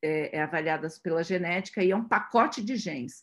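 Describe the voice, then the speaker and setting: A woman speaks with lively intonation. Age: 50s. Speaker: radiologist. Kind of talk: webinar lecture. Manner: halting, many fillers.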